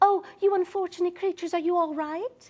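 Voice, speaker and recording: A squeaky, soft-spoken, female-sounding put-on character voice at an extremely high pitch and a fairly quick pace. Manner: soothing.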